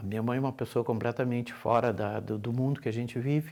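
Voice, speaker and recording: A man with a plain, everyday voice speaks at a moderate pace and medium pitch, on a very clean recording with a silent background. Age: 60s. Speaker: family caregiver. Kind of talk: testimony.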